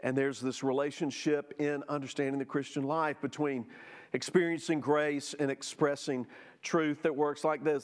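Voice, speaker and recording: On a very clean recording with a silent background, a man with a Southern US accent speaks at a moderate pace and a fairly high pitch. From US South (Jackson, Mississippi). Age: 50s. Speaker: church teacher. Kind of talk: Sunday school lesson.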